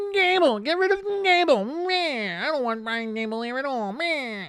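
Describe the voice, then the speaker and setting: This is a whiny, put-on character voice with a high pitch. It moves at a moderate pace. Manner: whining, complaining.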